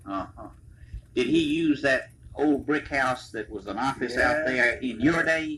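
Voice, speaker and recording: A man with an American accent and a normal speaking voice, fairly high in pitch, with ordinary pitch variation and a fairly slow pace. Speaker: interviewer. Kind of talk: casual interview questions.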